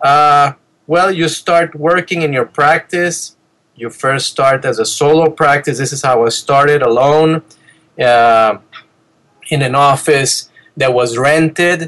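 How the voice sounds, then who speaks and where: At a very slow pace, a man speaks in a fairly high pitch with fairly even intonation. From Venezuela. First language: Spanish. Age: 50s. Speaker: dentist. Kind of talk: interview.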